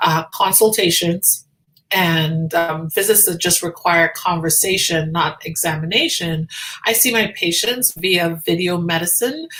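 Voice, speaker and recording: In a Trinidadian accent, a woman speaks at a fairly slow pace. Her pitch is fairly low, with ordinary pitch variation. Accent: Trinidadian (Caribbean). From Tobago, Trinidad and Tobago. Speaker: physician. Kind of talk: casual livestream check-in. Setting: live video stream.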